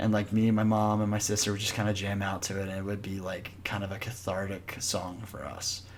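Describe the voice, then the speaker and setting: With an American accent, a man speaks at a fairly quick pace in a fairly low pitch, barely pausing at all. His intonation is flat and monotone, and the room echo is audible. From Alabama, US South. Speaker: podcast host. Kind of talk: casual chat.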